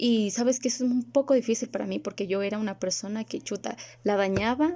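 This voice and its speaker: This woman has a medium pitch and a dark, mellow tone. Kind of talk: religious video monologue.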